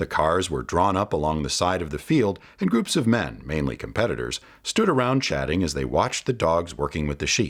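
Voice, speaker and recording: This voice has vocal fry and very wide pitch swings. The recording is very clean, with a silent background. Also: man, very deep, low pitch for a man. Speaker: children's book reader / voice-over narrator. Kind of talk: children's book read-aloud storytelling.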